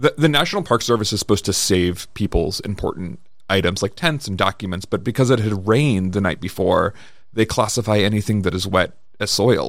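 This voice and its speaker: A man with a plain, everyday voice talks at a fairly quick pace, his pitch fairly low with ordinary variation. The recording is very clean, with a silent background. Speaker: homelessness policy advocate. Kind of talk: interview.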